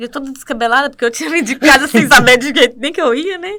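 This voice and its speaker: A woman's raised, projected voice, high-pitched and very fast. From northern Minas Gerais, Brazil. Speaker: church worship singer. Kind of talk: testimony.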